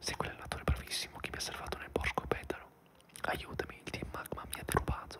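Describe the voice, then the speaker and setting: A man whispers at a moderate pace. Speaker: ASMR gamer. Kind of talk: relaxing whispered let's play commentary. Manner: whispered, soft-spoken.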